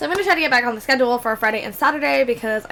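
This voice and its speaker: A woman talks at a very fast pace in a raised, projected voice with a high pitch and an upbeat tone. Noticeable background noise can be heard. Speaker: gaming YouTuber. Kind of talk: casual chat over gameplay. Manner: chatty, upbeat.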